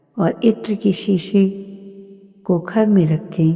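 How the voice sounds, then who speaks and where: A woman's very slow speech with ordinary pitch variation, set against music in the background. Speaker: satsang narrator. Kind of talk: devotional talk.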